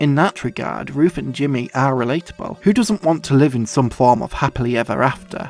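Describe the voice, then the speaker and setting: With music in the background, a man with a strong Yorkshire accent talks at a fairly quick pace and a fairly high pitch. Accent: thick Yorkshire. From Yorkshire, England. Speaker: film video essayist. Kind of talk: film video essay narration.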